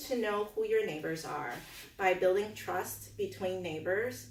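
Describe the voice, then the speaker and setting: There is audible room echo around a woman's voice. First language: not English. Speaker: political candidate. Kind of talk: campaign speech. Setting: community meeting with audience. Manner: hesitant, many fillers.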